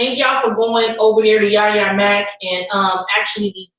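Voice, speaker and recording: In a room with audible echo, a woman speaks at a moderate pace with a medium pitch and monotone, flat intonation. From US Midwest. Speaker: YouTube live streamer. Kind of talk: casual livestream chat. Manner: loud. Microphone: sounds far away and echoey, too loud.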